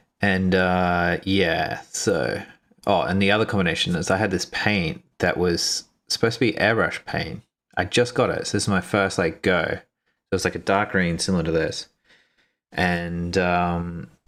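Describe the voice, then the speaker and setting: Very deep and low in pitch, a man talks at a fairly slow pace with very even loudness and fairly even intonation on a very clean recording with a silent background. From Australia, Brisbane. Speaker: miniature painting youtuber. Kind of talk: casual livestream chat while painting. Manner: casual, filler-heavy.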